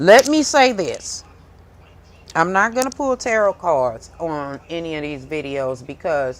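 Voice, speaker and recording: A fairly slow pace in a St. Louis accent. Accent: St. Louis Midwest way of talking. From US Midwest, St. Louis, Missouri. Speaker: tarot reader and spiritual content creator. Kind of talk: casual monologue to camera. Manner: loud, can sound harsh.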